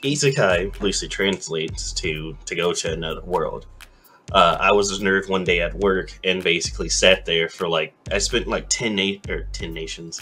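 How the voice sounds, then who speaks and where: A man talks at an unhurried, moderate speed while clear background noise carries on behind him. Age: 20s. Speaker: anime streamer. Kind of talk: casual chat. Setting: livestream. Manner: slurred.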